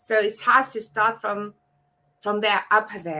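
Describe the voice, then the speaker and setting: With a Mauritian accent, a woman speaks at a fairly slow pace in a bright, sharp tone and a fairly high pitch. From Mauritius. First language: Mauritian Creole. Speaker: abuse survivor and advocate. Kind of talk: live panel discussion.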